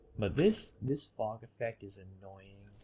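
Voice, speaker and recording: Very slowly, a man speaks in a somewhat breathy, fairly low voice with ordinary pitch variation. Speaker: gaming video narrator. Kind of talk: voiceover rant about video game graphics. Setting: headset microphone. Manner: casual, opinionated.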